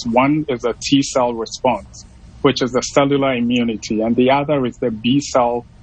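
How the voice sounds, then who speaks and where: Dry sound with no echo carries a man speaking at a moderate pace in fairly even intonation. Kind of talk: interview answer. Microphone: video call.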